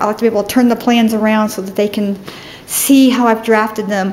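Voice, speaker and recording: Over light background noise, a woman talks fairly quickly with monotone, flat intonation. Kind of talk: casual tour narration. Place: office. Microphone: phone near.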